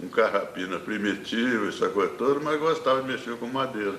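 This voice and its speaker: In a space with audible room echo and noticeable background noise, a man speaks at a medium pitch with ordinary pitch variation. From Minas Gerais, Brazil (Divinópolis). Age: 80s+. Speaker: painter and poet. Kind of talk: interview, life story. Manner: halting, with repetitions.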